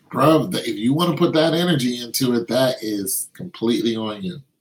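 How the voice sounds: A man speaks at a fairly quick pace in a medium pitch with ordinary pitch variation. His voice has a slightly husky edge.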